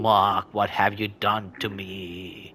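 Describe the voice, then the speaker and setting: Using a put-on character voice, a man growls at a fairly low pitch. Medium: solo performance.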